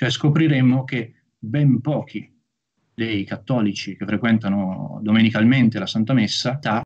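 A man speaks rather unhurriedly, his pitch shifting in a usual way. Nothing much can be heard behind him. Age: young. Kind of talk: lecture. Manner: formal. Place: home room. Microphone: video call.

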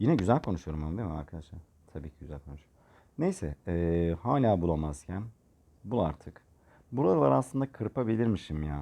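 With lively intonation and a fairly quick pace, a man speaks in a very deep, low pitch and a dark, mellow tone. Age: 30s. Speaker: gaming tutorial creator. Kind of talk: tutorial. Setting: voice-over recorded separately from screen capture. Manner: casual, filler-heavy.

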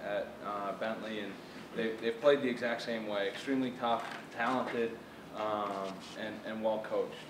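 A man's monotone, flat delivery at a moderate pace, with noticeable background noise. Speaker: football coach. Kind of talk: speech to luncheon audience. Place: hall. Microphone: camera far.

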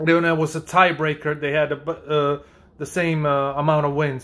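Quiet surroundings and a man's moderate pace. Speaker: YouTube sports commentator; sports commentary vlogger. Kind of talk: video commentary reacting to clips. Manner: animated, opinionated, sarcastic. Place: home room. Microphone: phone near.

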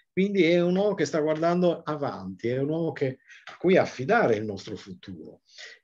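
Pitched fairly high, a man talks at a fairly quick pace, his pitch swinging very widely and his loudness rising and falling sharply. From Sardinia, Sassari; Sardinia. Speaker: nature photographer and author. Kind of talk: book presentation talk. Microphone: video call.

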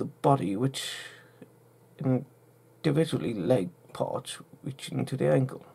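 A moderate pace carries the speech. The accent is British, with a British accent throughout. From UK. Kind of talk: casual talk to camera.

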